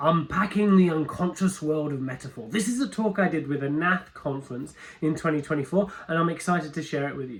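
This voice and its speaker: With a British accent, a man talks in a fairly high pitch with ordinary pitch variation and hardly any pauses. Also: fairly quick pace. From London, England. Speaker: metaphor coach and workshop presenter. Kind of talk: recorded video introduction; live workshop presentation. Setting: conference stage with audience.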